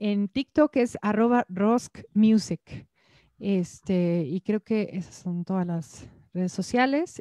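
A woman speaks at a very slow pace with lively intonation and a dark, mellow tone. The sound is dry with no echo, over a quiet background. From Mexico City. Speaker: singer-songwriter; interviewee. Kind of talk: interview. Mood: friendly, smiling. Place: home room. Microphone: handheld.

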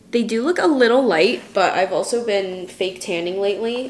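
An upbeat woman with an American accent, in a room with audible echo and light background noise. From Oregon, USA. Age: 20s. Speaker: marketing coordinator and lifestyle content creator. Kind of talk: casual vlog talk to camera. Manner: chatty, upbeat. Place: kitchen. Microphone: phone near.

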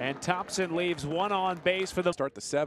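Noticeable background noise under a man talking at a moderate speed, his pitch fairly high and ordinary in its variation. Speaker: play-by-play announcer. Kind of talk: live baseball play-by-play commentary. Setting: ballpark broadcast highlight package.

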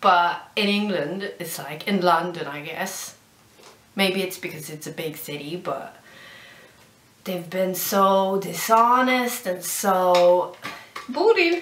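A woman with a Swedish accent at a very slow pace, with long, frequent pauses, big swings in loudness and audible room echo. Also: medium pitch for a woman, ordinary pitch variation. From Sweden. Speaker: vlogger. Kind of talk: casual vlog. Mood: mildly annoyed. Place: home room. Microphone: webcam.

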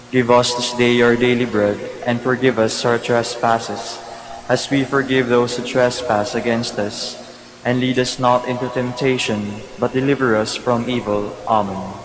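A man's medium-pitched voice with monotone, flat intonation over noticeable background noise. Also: moderate pace. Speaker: mass commentator and prayer leader. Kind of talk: liturgical announcements and responsive prayer. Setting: church. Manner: formal, inviting.

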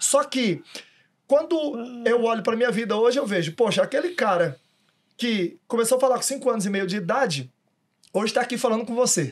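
Extremely high-pitched, a man talks in an animated tone with lively intonation at a fairly quick pace, broken by long, frequent pauses. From Federal District, Brazil. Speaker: motivational speaker. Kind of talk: casual interview chat. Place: studio. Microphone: studio mic.

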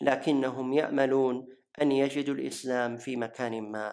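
A very slow delivery in a Najdi accent. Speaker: voice-over translator. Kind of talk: religious lecture narration.

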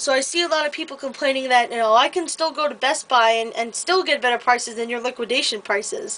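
High, female speech with ordinary pitch variation. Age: 20s. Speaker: vlogger and retail store employee. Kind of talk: casual vlog monologue. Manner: hesitant, many filler words. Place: home room. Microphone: webcam.

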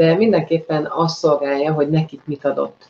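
A woman's voice has a dark, mellow tone. It sits very deep and low in pitch. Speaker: host of live interview show. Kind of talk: live show introduction. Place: home room.

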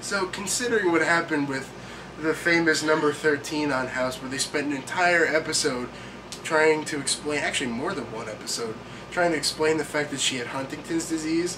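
The pace is fairly quick, with ordinary pitch variation. Background noise is noticeable. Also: man. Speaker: vlogger. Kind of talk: comedic reading and commentary. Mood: sarcastic, deadpan. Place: home room. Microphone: webcam.

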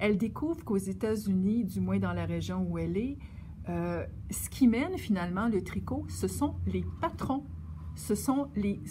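With a Quebec accent, a woman speaks at a very slow pace over light background noise. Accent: Québécois French. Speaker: yarn shop knitting presenter; presenter. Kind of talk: casual presentation. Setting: yarn shop. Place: shop.

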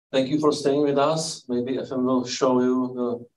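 Speaking with a Czech accent, this man keeps a medium pitch, monotone, flat intonation and a fairly slow pace. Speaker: event host. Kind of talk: moderated Q&A. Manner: halting.

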